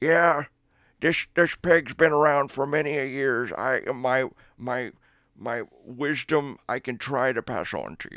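A man's put-on character voice, fairly high in pitch, at a fairly slow pace with long, frequent pauses and fairly even intonation. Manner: wise, advice-giving.

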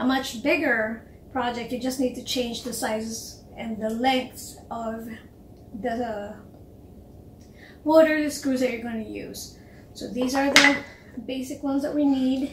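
Light background noise and audible room echo, with a fairly slow pace and long, frequent pauses. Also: woman, high pitch for a woman. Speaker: cake decorator instructor. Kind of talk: tutorial.

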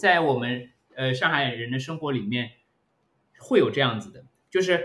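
This man's voice sits at a fairly high pitch, with ordinary pitch variation and a moderate pace. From Shanghai. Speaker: art lecturer. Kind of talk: casual podcast discussion. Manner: hesitant, many fillers.

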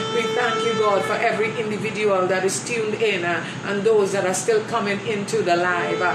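Clear music sounds in the background. Over it, a woman speaks at a moderate pace. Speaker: church minister. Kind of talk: opening remarks and spoken prayer. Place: home room. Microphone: phone near.

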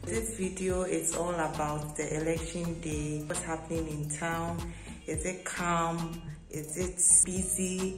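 A woman talks at a very slow pace in a very deep, low voice with fairly even intonation. Clear music plays in the background. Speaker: vlogger. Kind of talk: casual vlog chat. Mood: cheerful, smiling. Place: home room. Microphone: phone near.

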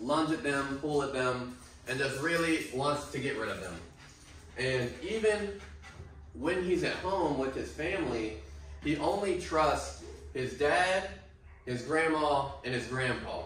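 With lively intonation and long, frequent pauses, a man speaks at a fairly slow pace amid audible room echo and light background noise. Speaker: dog trainer. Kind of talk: explanatory commentary. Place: hall.

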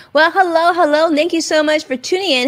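This is a woman speaking. Her pace is fairly quick. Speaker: live show host. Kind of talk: live show host commentary. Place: home room. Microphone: studio mic.

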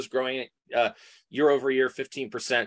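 Energetic in tone, a man speaks at a fairly slow pace, his sound dry and close with no echo. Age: 40s. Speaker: network marketing coach. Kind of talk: livestream presentation.

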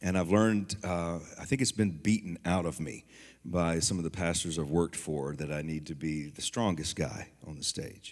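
A man uses a put-on character voice that is hoarse and very deep and low, moving at a moderate pace. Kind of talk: keynote talk.

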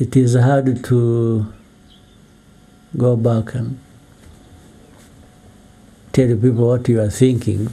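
Speaking very slowly, a man uses a dark, mellow tone that is somewhat breathy. His delivery is flat and monotone, broken by long, frequent pauses. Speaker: candidate. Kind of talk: interview answer. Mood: reflective, calm. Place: office. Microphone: podium.

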